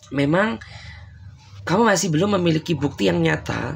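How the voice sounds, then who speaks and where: The speech is somewhat breathy and comes at a moderate pace. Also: man. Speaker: tarot reader. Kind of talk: tarot reading to viewers. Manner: casual, conversational.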